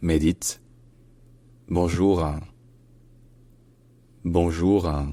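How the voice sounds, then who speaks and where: In a put-on character voice, a man speaks at a very deep, low pitch in a nasal, monotone, flat delivery, going at a very slow pace with long, frequent pauses. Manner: affected, posh.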